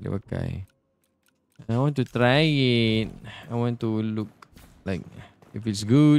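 With a Malaysian accent, a man speaks at a very slow pace with long, frequent pauses and ordinary pitch variation, the sound dry with no echo. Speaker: gaming streamer. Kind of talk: let's play commentary. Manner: animated. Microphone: studio mic.

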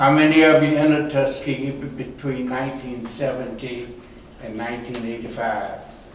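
Heard with audible room echo and light background noise, a man with an American accent talks at a very slow pace with monotone, flat intonation and big swings in loudness. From US South. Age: 80s+. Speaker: war veteran and retired pilot. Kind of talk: ceremonial speech. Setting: stage with audience. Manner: humorous. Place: meeting room. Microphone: camera far.

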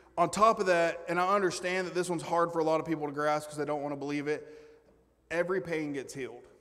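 A man talks at a fairly quick pace in a fairly high pitch with a fairly bright tone.

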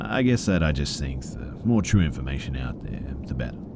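A man with an Australian accent talks at a moderate pace in a very deep, low pitch. His intonation is lively, and there is noticeable background noise. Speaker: horror story narrator. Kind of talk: scripted narration of scary stories read aloud in a hushed, spooky bedtime tone.

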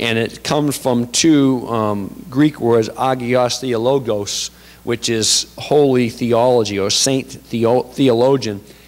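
A man at a very slow pace with fairly even intonation and hardly any pauses. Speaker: pastor. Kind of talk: sermon. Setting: church. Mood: relaxed, humorous. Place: church. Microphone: handheld.

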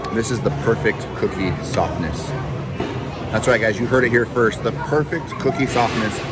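Clear music plays in the background while a man speaks at a moderate pace. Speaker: theme park food vlogger. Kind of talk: casual vlog chat. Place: street. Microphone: phone near.

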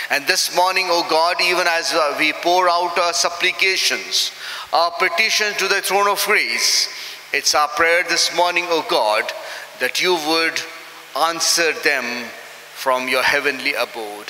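A man speaks at a fairly slow pace with a high pitch and ordinary pitch variation. His loudness stays very even, and audible room echo fills the recording. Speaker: minister leading worship. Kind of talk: prayer. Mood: solemn, reverent. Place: church. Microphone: podium.

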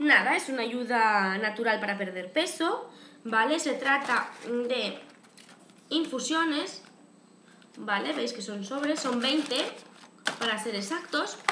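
Speaking in a Spanish accent at a very slow pace, a woman uses a high pitch and lively intonation with long, frequent pauses. Noticeable background noise runs throughout. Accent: Peninsular Spanish. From Spain. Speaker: YouTube vlogger. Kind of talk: casual vlog to camera. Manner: chatty, frequent fillers. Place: home room. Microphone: webcam.

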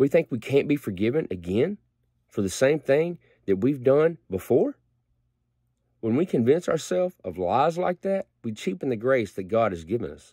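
A man speaks with a dark, mellow tone and very wide pitch swings. The sound is dry with no echo over a quiet background. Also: moderate pace. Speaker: lay preacher. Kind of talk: short sermon-style prayer devotional. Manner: earnest, conversational preacher tone, plain-spoken and direct; animated, mock-dramatic when acting out God's reaction. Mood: earnest, reflective. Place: home room. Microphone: phone near.

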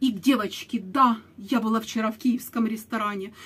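Intonation stays fairly even as the speech moves at a moderate pace. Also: woman. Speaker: blogger. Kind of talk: casual vlog chat. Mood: sarcastic, mocking. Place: home room. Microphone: webcam.

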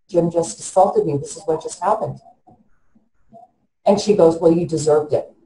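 A woman's dark, mellow, somewhat breathy voice comes with audible room echo. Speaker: interviewee. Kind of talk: interview answer. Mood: distressed, emotional retelling. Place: home room. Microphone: video call.

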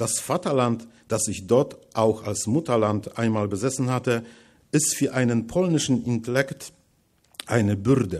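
Against a quiet background, a man with a Polish accent talks at a fairly slow pace with ordinary pitch variation. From Poland, Masuria/Warmia; Poland. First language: Polish (speaking German). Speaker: writer; guest lecturer. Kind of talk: lecture. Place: hall. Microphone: podium.

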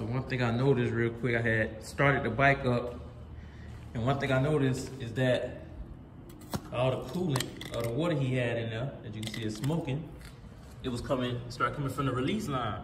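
A man at a fairly quick pace against noticeable background noise. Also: ordinary pitch variation. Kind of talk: casual repair walkthrough. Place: garage. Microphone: phone near.

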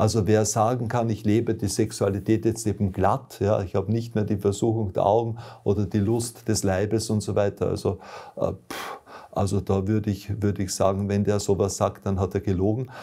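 A man with a dark, mellow tone and a fairly low pitch speaks at a moderate pace in a flat monotone, somewhat breathy, against a quiet background. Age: old. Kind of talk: testimony. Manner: hesitant, frequent fillers. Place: home room.

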